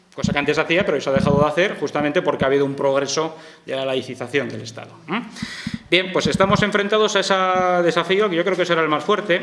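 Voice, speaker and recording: Over noticeable background noise, a man speaks at a very fast pace and high pitch with ordinary pitch variation. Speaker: professor. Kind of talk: panel talk. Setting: stage with audience.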